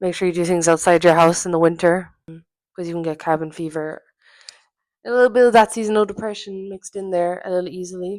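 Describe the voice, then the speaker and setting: In an Irish accent, the speaker goes at a very fast pace with fairly even intonation and big swings in loudness. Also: woman, medium pitch for a woman. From Ireland. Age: 20s. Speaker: podcast host. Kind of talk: casual solo podcast monologue. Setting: at home in her apartment.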